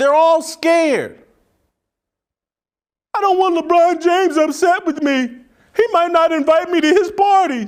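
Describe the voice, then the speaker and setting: In an intense tone, a man with an extremely high pitch and ordinary pitch variation speaks at a fairly slow pace with long, frequent pauses. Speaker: sports and political commentator, solo show host. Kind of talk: opinionated solo commentary monologue. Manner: intense, sarcastic, rant-like.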